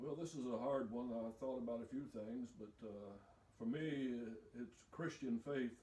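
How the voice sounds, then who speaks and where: With an Appalachian accent, a man speaks at a fairly slow pace. His tone is dark and mellow, with fairly even intonation. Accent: Appalachian Southern US. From US South, eastern Kentucky. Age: 60s. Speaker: retired preacher and factory mechanic. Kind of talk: interview.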